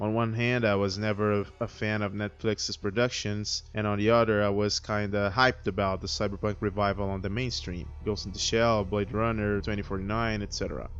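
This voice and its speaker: Over music in the background, a man talks at a fairly quick pace with hardly any pauses, in a non-native accent. His fairly low voice stays monotone and flat. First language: not English. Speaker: video critic. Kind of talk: video review monologue.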